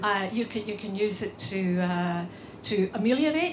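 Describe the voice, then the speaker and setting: A woman's fairly high-pitched, an ordinary speaking voice with lively intonation. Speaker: novelist. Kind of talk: panel discussion.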